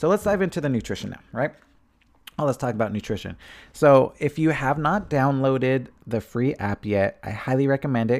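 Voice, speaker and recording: A man's normal speaking voice at a moderate pace, with ordinary pitch variation, in a very clean recording with a silent background. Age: 30s. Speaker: fitness podcast host. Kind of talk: casual solo monologue. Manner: casual, with filler words and laughs.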